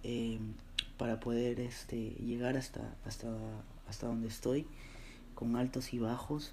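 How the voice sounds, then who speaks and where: Dark, mellow male voice at medium pitch, monotone, flat intonation and a fairly slow pace, with audible room echo. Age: 20s. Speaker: graphic designer, podcast host. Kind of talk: solo personal monologue. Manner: hesitant, many fillers and repeated words.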